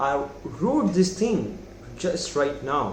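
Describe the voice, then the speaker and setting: With a non-native accent and a high pitch, a man speaks amid audible room echo and noticeable background noise. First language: not English. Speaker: self-improvement youtuber. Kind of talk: casual monologue. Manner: halting.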